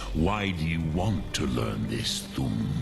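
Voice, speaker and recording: A man speaks at a fairly slow pace in a put-on character voice. Loud background noise fills the recording. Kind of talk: archaic epic speech. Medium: solo performance. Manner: slow, deliberate, grave.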